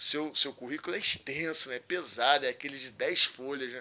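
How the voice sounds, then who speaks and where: A man with a plain, everyday voice talks at a fairly quick pace at a fairly high pitch with ordinary pitch variation. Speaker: podcast host, IT professional. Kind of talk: casual interview chat.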